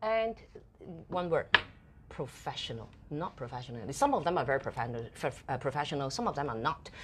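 A woman with a Cantonese accent and a very deep, low pitch, at a fairly quick pace with very wide pitch swings and long, frequent pauses. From Hong Kong. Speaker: TV host and entrepreneur. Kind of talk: interview. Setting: live studio broadcast.

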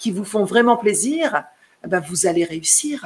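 A woman's voice with very wide pitch swings. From metropolitan France, of Guadeloupean family. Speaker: real estate agent. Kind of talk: live stream Q&A. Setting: live video stream. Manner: hesitant, many fillers.

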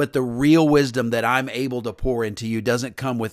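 An animated man at medium pitch and moderate pace, in a very clean recording with a silent background. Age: 50s. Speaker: podcast host, pastor. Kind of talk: motivational monologue.

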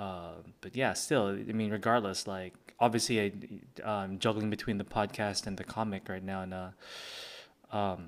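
A man speaks quietly at a moderate pace in a fairly low pitch, with fairly even intonation and long, frequent pauses. The recording is very clean, with a silent background. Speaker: podcast host and comic creator. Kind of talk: casual solo podcast talk. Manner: hesitant, many fillers.

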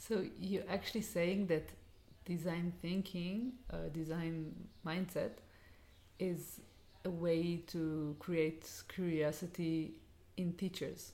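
A woman with an Israeli accent speaks very slowly, with long, frequent pauses. Her fairly low pitch and dark, mellow tone stay on fairly even intonation. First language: Hebrew. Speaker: education design co-host. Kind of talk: interview. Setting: in person, Jerusalem house.

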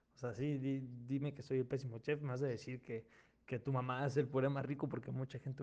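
Talking at a fairly quick pace, a man has a plain, everyday voice with a fairly high pitch. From Mexico, outside Mexico City. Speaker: podcast host. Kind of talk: casual chat.

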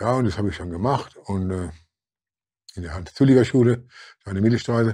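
A very fast man's voice with a dark, mellow tone, somewhat breathy, with ordinary pitch variation. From Germany, Mannheim. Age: 70s. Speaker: former boxer and social worker. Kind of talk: interview. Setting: studio. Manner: halting, repetitive.

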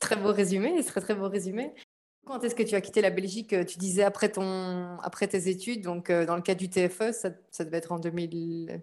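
A woman with an unremarkable speaking voice talks at a medium pitch and moderate pace, with fairly even intonation. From Belgium. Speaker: podcast host. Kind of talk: casual interview.

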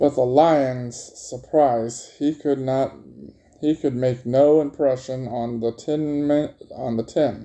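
Text is being read out plainly. It is plain reading aloud.

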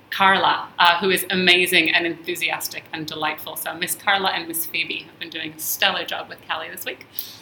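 Speaking with an American accent, a woman talks at a fairly quick pace with hardly any pauses. Her intonation is monotone and flat, her loudness swings widely, and there is noticeable background noise. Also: fairly low pitch for a woman. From Israel-born, American parents. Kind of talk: casual chat. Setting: studio.

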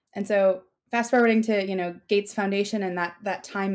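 On a very clean recording with a silent background, a woman with a normal speaking voice and an American accent speaks at a fairly quick pace and a medium pitch. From Minnesota. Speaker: food scientist and startup CEO. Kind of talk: interview.

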